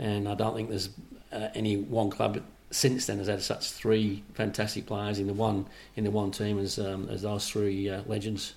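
Audible room echo surrounds a man speaking in a flat monotone. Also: fairly low pitch for a man, moderate pace. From northern England, near Manchester, emigrated to Australia at 13. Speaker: former footballer, referee and club administrator. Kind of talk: interview. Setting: at his home.

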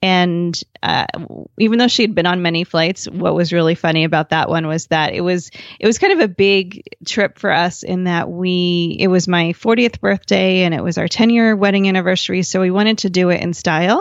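A woman with an American accent, a normal speaking voice, fairly low pitch and a fairly quick pace, in a dry, close sound with no echo over a quiet background. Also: fairly even intonation. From New Jersey. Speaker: family travel blogger and podcaster. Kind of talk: interview conversation.

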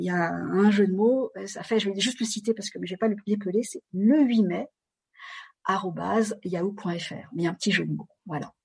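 A woman speaks at a moderate pace in a medium pitch, somewhat breathy, with big swings in loudness and long, frequent pauses. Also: ordinary pitch variation. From France. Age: 50s. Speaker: dance and bodywork teacher. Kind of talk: interview. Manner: halting.

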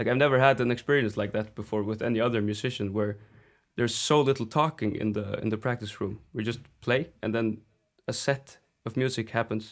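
Speaking fairly quickly with a Faroese accent, a man keeps a medium pitch and fairly even intonation in a very clean recording with a silent background. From Faroe Islands. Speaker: folk singer. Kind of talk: interview.

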